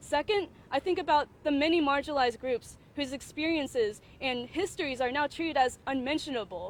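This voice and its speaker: A fairly quick pace with ordinary movement in pitch. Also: woman. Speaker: undergraduate student speaker. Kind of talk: prepared statement at press conference. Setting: press conference. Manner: loud; halting, self-correcting.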